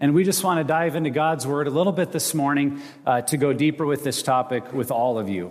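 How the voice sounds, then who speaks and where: Against noticeable background noise, a man with an American accent speaks fairly quickly at a fairly high pitch, with ordinary pitch variation. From Montana and Wyoming, US. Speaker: ministry director and guest preacher. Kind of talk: sermon. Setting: church stage with audience.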